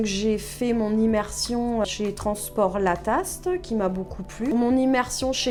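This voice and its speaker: A very slow pace over music in the background. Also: woman. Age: 40s. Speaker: trainee truck driver. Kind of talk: testimony. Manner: hesitant, with many fillers.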